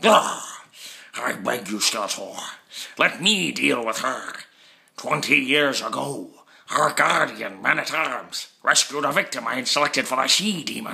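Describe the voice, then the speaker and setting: A man speaks in a put-on character voice at a moderate pace and a medium pitch. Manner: pleading, then vengeful.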